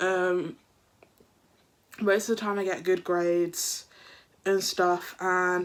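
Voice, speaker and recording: At a fairly slow pace, a woman speaks in a British accent. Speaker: YouTuber. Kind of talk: storytime vlog.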